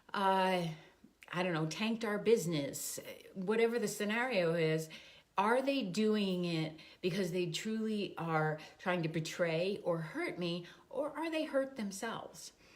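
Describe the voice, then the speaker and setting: With lively intonation and a medium pitch, a woman talks at a fairly slow pace amid audible room echo. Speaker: life coach. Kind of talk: casual vlog talk. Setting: standing on a treadmill.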